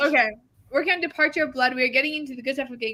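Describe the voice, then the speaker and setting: A woman with a high pitch uses a raised, projected voice and ordinary pitch variation. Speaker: writing livestream host. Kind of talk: casual chat. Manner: fast.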